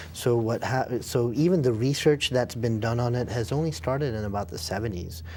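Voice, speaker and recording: With an American accent, a man speaks at a medium pitch and a fairly quick pace. He hardly pauses, and his intonation is lively. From international upbringing, English boarding school, Indian parents. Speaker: film director. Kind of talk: interview. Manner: halting, frequent restarts.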